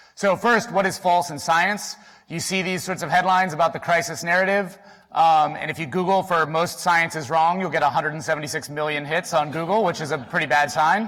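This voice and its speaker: Against a silent background on a very clean recording, a man talks fairly quickly at a high pitch with a bright, sharp tone and fairly even intonation. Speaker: statistician, symposium speaker. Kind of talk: conference talk. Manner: fast.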